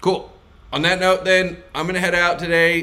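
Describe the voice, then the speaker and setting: A high-pitched man's voice with audible room echo. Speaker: sales coach. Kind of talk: live stream Q&A. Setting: live stream. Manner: wide pitch range, animated; fast.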